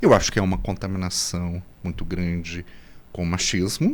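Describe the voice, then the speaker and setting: The man's voice sits at a very deep, low pitch. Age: 60s. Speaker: gynecologist. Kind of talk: casual chat. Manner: halting.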